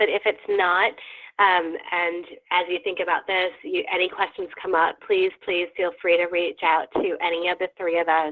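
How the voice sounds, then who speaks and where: A woman talks with an unremarkable speaking voice. Her intonation is fairly even, and her pace is moderate. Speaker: advocacy event organizer. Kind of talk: training webinar briefing.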